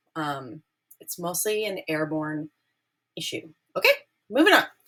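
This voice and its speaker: A woman's voice sounds bright and sharp, with an upbeat tone. She speaks in a raised, projected voice. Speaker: ceramics teacher. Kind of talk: classroom safety briefing. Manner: casual, upbeat.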